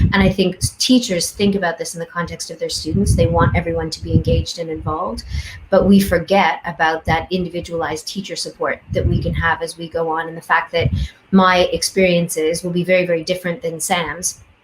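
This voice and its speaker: This woman has a Canadian accent and a fairly low pitch, with ordinary pitch variation. She talks at a fairly quick pace over noticeable background noise. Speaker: education researcher. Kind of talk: panel discussion. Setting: video call.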